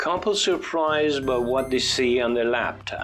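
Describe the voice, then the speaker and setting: A man with an American accent speaks at a medium pitch with ordinary pitch variation, music playing in the background. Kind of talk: English vocabulary lesson narration, teaching synonyms with example sentences.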